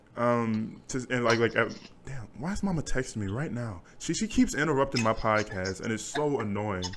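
Here a man has an unremarkable speaking voice at a medium pitch, speaking at a moderate pace with ordinary pitch variation. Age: young. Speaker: podcast host. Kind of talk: casual chat. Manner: laughs often.

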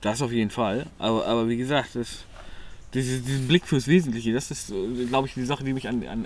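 A man's ordinary speaking voice at a medium pitch, with a fairly quick pace and fairly even intonation. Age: 20s. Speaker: podcast co-host. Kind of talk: casual chat.

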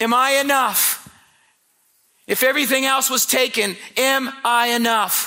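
An extremely high-pitched man with an American accent, a raised, projected voice and monotone, flat intonation. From Indiana, US Midwest. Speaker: visiting preacher. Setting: church camp meeting with live audience. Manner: conversational and humorous, with storytelling asides.

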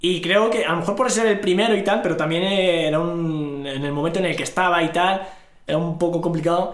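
A man speaks in a high voice at a fairly quick pace. His intonation stays fairly even against noticeable background noise. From northern Morocco, rural area near Larache. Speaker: finance professional, interview guest. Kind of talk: casual interview.

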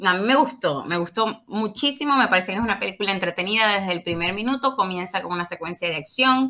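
A woman with a Maracaibo accent and a medium pitch speaks at a very fast pace with hardly any pauses and lively intonation. Her tone is bright and sharp on a very clean recording with a silent background. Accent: Venezuelan Spanish (Maracaibo, Zulia). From Venezuela, Maracaibo. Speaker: podcast guest. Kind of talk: casual chat.

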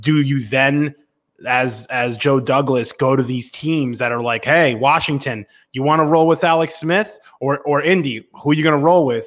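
A man speaks at a moderate pace in a fairly high pitch, with a plain, everyday voice. The recording is very clean, with a silent background. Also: ordinary pitch variation. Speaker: sports radio host. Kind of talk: casual chat, live sports talk show. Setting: live stream show.

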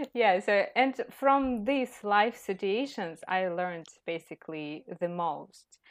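Very slow speech with lively intonation comes through over a quiet background. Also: woman, medium pitch for a woman. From Ukraine, Kyiv. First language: Ukrainian or Russian. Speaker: English teacher. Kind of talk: casual interview.

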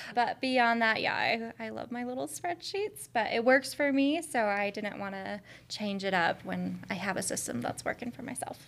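A woman with a plain, everyday voice and fairly high pitch talks at a moderate pace with lively intonation and hardly any pauses. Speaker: financial education specialist. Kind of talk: casual chat.

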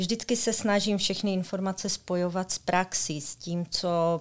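On a very clean recording with a silent background, a woman with an ordinary speaking voice speaks fairly slowly at a medium pitch, her intonation fairly even. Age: 40s. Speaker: secondary school teacher. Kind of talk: interview.

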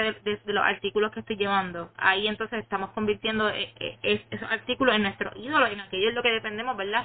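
A woman talks very fast at a fairly high pitch. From Puerto Rico. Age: 20s. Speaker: young guest. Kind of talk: casual chat. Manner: halting.

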